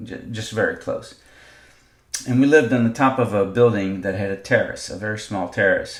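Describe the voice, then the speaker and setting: With a non-native accent, a man talks at a moderate pace using ordinary pitch variation. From Israel, Jerusalem. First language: not English. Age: 50s. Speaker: podcaster. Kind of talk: personal monologue. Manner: halting, many fillers.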